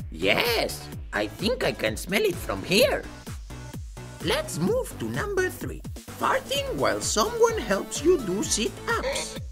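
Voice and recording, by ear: Loud music plays in the background behind a cartoonish character voice. The delivery is fairly slow.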